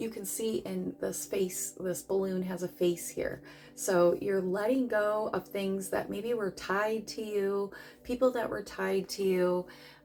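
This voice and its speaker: Using an ordinary speaking voice, a woman talks at a fairly slow pace with medium pitch and ordinary pitch variation. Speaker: tarot reader. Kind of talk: tarot reading.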